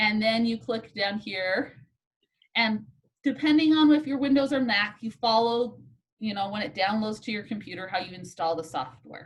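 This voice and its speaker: Somewhat breathy, a woman speaks at a moderate pace and fairly high pitch with lively intonation. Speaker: statistics instructor. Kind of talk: lecture. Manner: casual.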